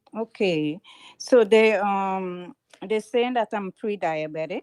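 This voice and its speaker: A woman with a strong Trinidadian accent, talking at a very slow pace with ordinary pitch variation. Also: medium pitch for a woman, dry, close sound with no echo. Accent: heavy Trinidadian. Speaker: caller. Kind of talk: call-in question. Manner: loud; halting.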